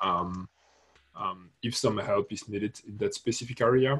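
A somewhat breathy male voice delivers its words at a moderate pace. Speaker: open-source contributor. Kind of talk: online project meeting. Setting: video call. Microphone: video call.

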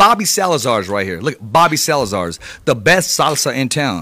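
Over a quiet background, a man speaks at a fairly quick pace with a bright, sharp tone, vocal fry and very wide pitch swings. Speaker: radio host. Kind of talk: live radio show, casual banter with ads and interview. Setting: studio. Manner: animated, upbeat, hyped-up. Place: studio. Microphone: studio mic.

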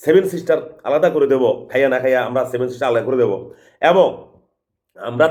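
With a normal speaking voice, a man talks using ordinary pitch variation. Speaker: political commentator. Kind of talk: political monologue.

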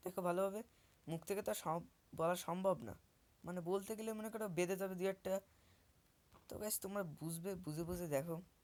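The woman's voice sits at a medium pitch with fairly even intonation. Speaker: YouTube craft creator. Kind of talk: tutorial voice-over. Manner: halting. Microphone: new mic.

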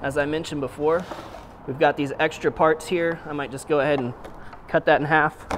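Over light background noise, a man speaks with monotone, flat intonation. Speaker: chef host. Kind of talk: tutorial.

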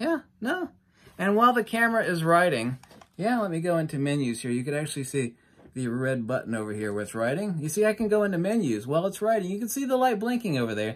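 A man's high-pitched voice at a very fast pace, with very wide pitch swings. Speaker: photography youtuber. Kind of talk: casual tutorial demonstration. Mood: mocking, debunking claims. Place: home room.

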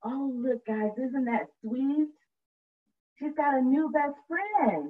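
A woman talks slowly at a high pitch, her intonation lively.

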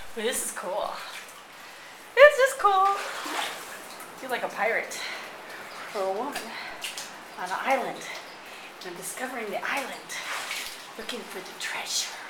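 Amid loud background noise, a woman talks at a fairly slow pace with long, frequent pauses. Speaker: vlogger. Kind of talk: casual vlog chat. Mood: playful, excited. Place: tunnel cave. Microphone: phone near.

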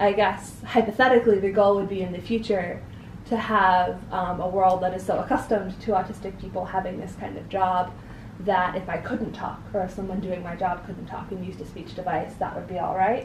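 A woman with an American accent speaks at a fairly quick pace in a medium pitch, her intonation flat and monotone, over noticeable background noise. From US Northeast, New Hampshire. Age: young. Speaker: interview guest. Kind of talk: interview. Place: home room.

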